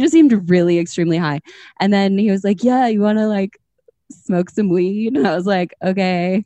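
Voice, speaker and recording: This is a plain, everyday voice: a woman with an American accent at a medium pitch. She talks at a fairly quick pace with ordinary pitch variation. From Minnesota. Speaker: podcast host. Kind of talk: casual chat.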